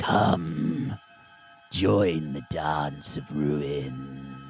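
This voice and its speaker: A man's put-on character voice, raspy, growling and very deep, over clear background music. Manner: cackling, beckoning, menacing.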